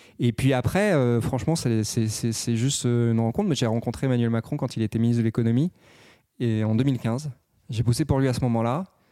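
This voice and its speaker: A man speaks at medium pitch with a dark, mellow tone and fairly even intonation. He holds a moderate pace on a very clean recording with a silent background. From provincial France, several small towns. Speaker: politician, government youth official. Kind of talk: casual interview chat. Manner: hesitant, repeats words.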